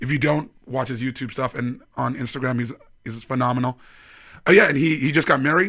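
Here a man speaks with a Canadian accent in a medium pitch, his tone bright and sharp. His pace is fairly quick and his pitch variation ordinary. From Vancouver, Canada. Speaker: stand-up comedian. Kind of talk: casual chat. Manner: halting, many fillers.

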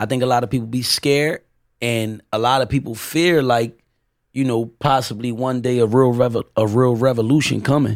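Over a silent background in a very clean recording, a man speaks at a moderate pace with medium pitch and fairly even intonation. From Camden, New Jersey, Puerto Rican family. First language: Spanish (bilingual). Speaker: rapper and guest. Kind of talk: casual chat.

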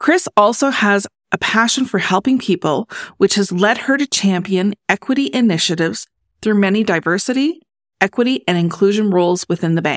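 A woman's unremarkable speaking voice at medium pitch, with lively intonation, a moderate pace, and a dry, close sound with no echo. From Canada. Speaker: podcast host, accountant. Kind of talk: scripted introduction; interview.

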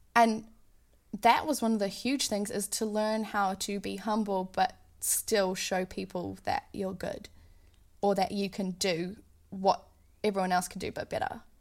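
In a New Zealand accent, the speaker goes at a fairly slow pace with long, frequent pauses on a very clean recording with a silent background. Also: woman, medium pitch for a woman. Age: 30s. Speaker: touring keyboardist and singer. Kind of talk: casual interview.

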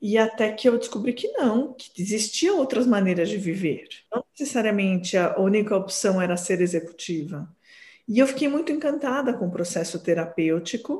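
At a moderate pace, a woman speaks in a dark, mellow, somewhat breathy tone, fairly high in pitch, with lively intonation. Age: 40s. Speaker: psychoanalyst. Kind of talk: interview.

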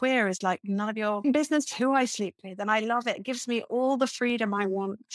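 Fairly high-pitched woman, a plain, everyday voice, a fairly quick pace, ordinary pitch variation and a dry, close sound with no echo. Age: 50s. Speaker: podcast guest in a support group discussion. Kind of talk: casual group conversation.

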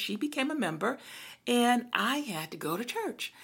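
In a very clean recording with a silent background, a woman with a fairly high pitch shows vocal fry and very wide pitch swings. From Brooklyn, New York. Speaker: podcast co-host, church minister. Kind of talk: casual chat.

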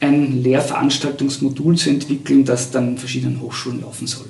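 A man's speech carries audible room echo, with noticeable background noise behind it. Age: 50s. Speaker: university lecturer. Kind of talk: interview. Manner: halting.

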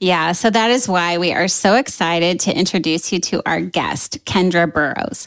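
Speaking at a moderate pace with hardly any pauses, a woman uses an unremarkable speaking voice, fairly low in pitch, with ordinary pitch variation and very even loudness. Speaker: podcast host. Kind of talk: casual interview chat.

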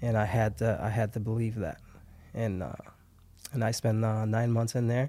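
With a dark, mellow tone, a man at medium pitch uses ordinary pitch variation and takes long, frequent pauses. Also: moderate pace. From Haiti. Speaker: barbershop owner. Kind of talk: interview.

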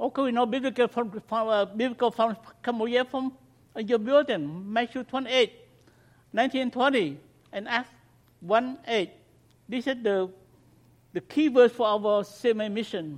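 A man speaks at a fairly slow pace with an extremely high pitch and ordinary pitch variation. He leaves long, frequent pauses. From Cambodia. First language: Khmer. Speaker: missionary. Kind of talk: mission talk to congregation. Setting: church.

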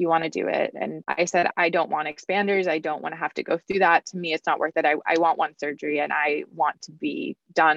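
In a normal speaking voice, the words move at a fairly quick pace with fairly even intonation. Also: woman. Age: 20s. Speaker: breast cancer survivor. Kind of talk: interview testimony.

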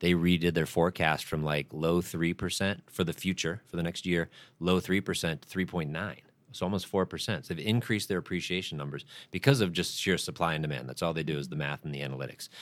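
In a very clean recording with a silent background, a man with a very deep, low pitch and vocal fry talks at a very fast pace with ordinary pitch variation. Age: 40s. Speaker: loan officer. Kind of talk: casual chat.

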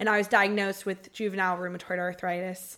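A woman with a Southern US accent speaks at a medium pitch, her intonation monotone and flat. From Georgia, US South (Marietta). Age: 20s. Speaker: podcast co-host with chronic illness. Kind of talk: casual chat.

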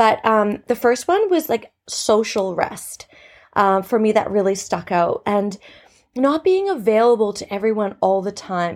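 A woman with a Canadian accent speaks in a normal speaking voice at a moderate pace and medium pitch, recorded very cleanly against a silent background. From Canada. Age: 30s. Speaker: podcast host and teacher. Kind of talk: casual solo podcast talk.

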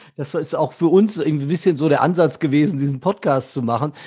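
A man's normal speaking voice, fairly high in pitch, with ordinary pitch variation. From Germany, Ruhr area (Gelsenkirchen). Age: 50s. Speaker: podcast host. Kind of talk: casual chat.

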